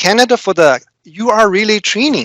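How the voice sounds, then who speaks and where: Someone speaks with a Chinese accent at a moderate pace. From China. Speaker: corporate trainer. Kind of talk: prepared speech. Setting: speech club meeting. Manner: halting, many fillers.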